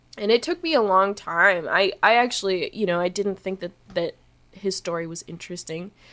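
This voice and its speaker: A woman speaks at a moderate pace in a bright, sharp tone, her medium pitch moving with ordinary variation, on a very clean recording with a silent background. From Canada. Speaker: musician. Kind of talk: casual interview chat. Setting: studio.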